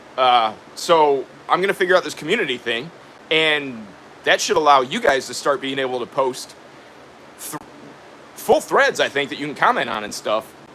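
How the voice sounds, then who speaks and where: A fairly high-pitched man at a moderate pace, with lively intonation, big swings in loudness, long and frequent pauses, and noticeable background noise. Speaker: DIY builder and YouTuber. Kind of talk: live stream chat reading viewer comments. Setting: live stream from his workshop. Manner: casual, halting with fillers.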